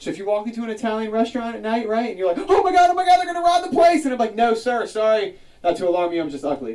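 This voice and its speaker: Over noticeable background noise, a man with an American accent talks at a very fast pace in a high pitch, his voice making very wide pitch swings. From South Jersey, near Philadelphia. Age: 30s. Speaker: comedian. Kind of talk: stand-up. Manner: animated.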